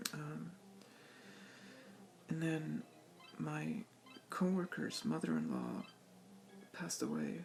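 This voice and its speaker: A man speaks at a very slow pace with long, frequent pauses and noticeable background noise. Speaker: video game collector vlogger. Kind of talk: casual vlog. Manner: halting, hesitant.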